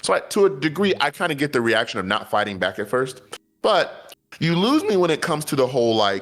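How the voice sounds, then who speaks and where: Talking at a fairly quick pace, a man with a fairly high pitch and vocal fry lets his pitch swing very widely. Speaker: podcast co-host. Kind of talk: casual chat. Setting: live stream. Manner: animated.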